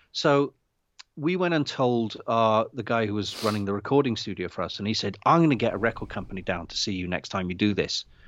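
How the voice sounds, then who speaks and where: A man talks at a fairly quick pace in an unremarkable speaking voice. His pitch sits in the medium range, and his intonation is lively. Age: 50s. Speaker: indie filmmaker. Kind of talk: casual chat. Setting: video call. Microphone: unstable internet connection.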